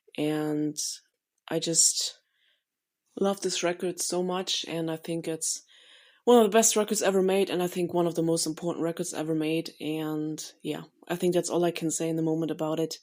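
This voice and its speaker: On a very clean recording with a silent background, a woman with a German accent and a fairly low pitch speaks at a moderate pace with fairly even intonation and long, frequent pauses. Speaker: listener sending a voice memo. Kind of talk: recorded voice memo monologue. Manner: unscripted, with hesitations.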